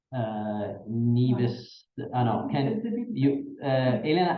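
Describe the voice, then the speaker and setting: In an Italian accent, a man speaks at a medium pitch, with audible echo in the room. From Italy. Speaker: professor. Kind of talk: lecture. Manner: halting.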